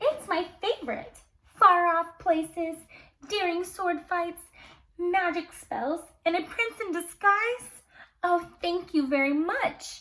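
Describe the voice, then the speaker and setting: At a fairly slow pace, the speaker uses a put-on character voice. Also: woman, extremely high pitch for a woman. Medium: read story.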